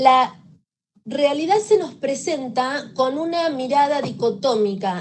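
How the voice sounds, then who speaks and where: The woman talks at a very slow pace with a high pitch. Her recording has audible room echo and noticeable background noise. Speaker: victim assistance professional. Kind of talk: lecture.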